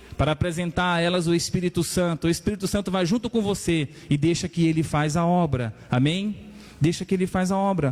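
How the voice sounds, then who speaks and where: A man's high-pitched voice at a fairly quick pace, very even in loudness, with ordinary pitch variation. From Maranhão, northeastern Brazil. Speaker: pastor. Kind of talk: sermon.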